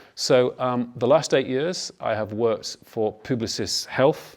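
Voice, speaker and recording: Recorded very cleanly against a silent background, a man talks with a northern English accent. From northern England. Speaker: health industry executive. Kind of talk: panel talk.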